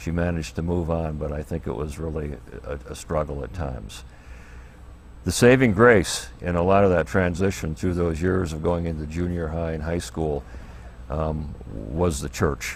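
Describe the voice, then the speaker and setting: Audible room echo surrounds a man with an American accent who speaks at a moderate pace in a very deep, low pitch. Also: ordinary pitch variation. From US, Air Force family, mostly Michigan and Florida. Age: 70s. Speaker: pastor. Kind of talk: interview, personal life story. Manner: halting, many fillers.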